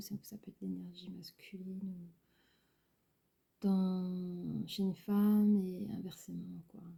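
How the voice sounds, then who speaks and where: Soft-spoken and somewhat breathy, a woman talks at a medium pitch in a dark, mellow tone. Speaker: tarot card reader. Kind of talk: tarot reading. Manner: halting.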